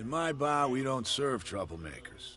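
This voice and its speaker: A man's raspy, put-on character voice at medium pitch, with lively intonation, a moderate pace and clear background noise. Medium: video game. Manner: guarded, cryptic.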